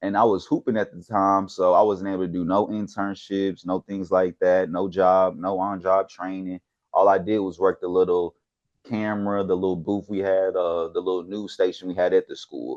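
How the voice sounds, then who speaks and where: A man's very deep, low voice with a slight Houston accent, flat monotone delivery, moderate pace, and a dry, close sound with no echo against a quiet background. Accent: slight Houston Texas. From Texas, Houston. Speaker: sports researcher. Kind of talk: casual chat.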